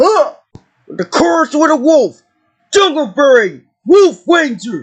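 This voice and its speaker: Using a put-on character voice, a man talks at a fairly slow pace with an extremely high pitch. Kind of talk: battle cries and morph calls. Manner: shouted, energetic.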